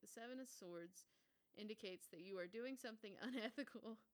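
A woman with a normal speaking voice talks fairly quickly in a fairly high pitch with lively intonation. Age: 20s. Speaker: podcast host and comedian. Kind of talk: casual solo chat.

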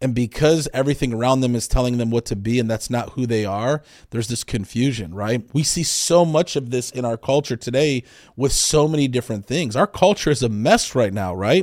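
A man with an unremarkable speaking voice talks at medium pitch and a fairly quick pace, with ordinary pitch variation, on a very clean recording with a silent background. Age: 40s. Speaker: real estate agent. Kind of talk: casual chat.

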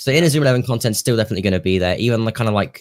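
In a very clean recording with a silent background, a man speaks with a British accent. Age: 18. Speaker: YouTuber and streamer. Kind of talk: casual chat.

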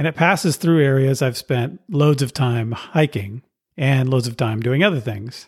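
A man with an American accent speaks at a moderate pace, somewhat breathy. The recording is very clean, with a silent background. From California. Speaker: podcast host. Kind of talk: scripted narration.

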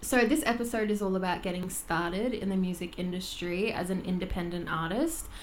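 A woman's medium-pitched voice in an Australian accent, fairly quick with hardly any pauses, ordinary pitch variation, and audible room echo. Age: 20s. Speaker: vocal coach and podcast host. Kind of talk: casual chat.

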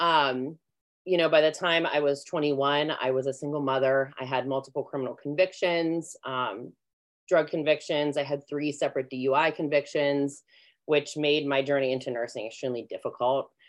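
A woman with an American accent and a very deep, low pitch, speaking at a moderate pace. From US, Pittsburgh area. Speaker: nurse practitioner and med spa owner. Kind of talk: interview, personal story. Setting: live stream.

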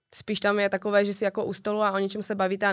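Speaking at a very fast pace in a slight Ostrava accent, a woman with a medium pitch comes through on a very clean recording with a silent background. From Czechia, Ostrava. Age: 20s. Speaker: TikToker and bartender. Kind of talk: casual interview chat.

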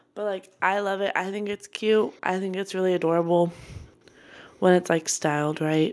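This woman has a normal speaking voice pitched in the medium range. She keeps a moderate pace with fairly even intonation. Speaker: podcast host. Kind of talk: casual chat.

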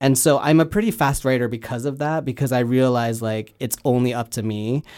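A man with a plain, everyday voice talks at a moderate pace in a medium pitch with fairly even intonation, on a very clean recording with a silent background. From Canada. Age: 30s. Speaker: filmmaker and comedian. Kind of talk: casual interview.

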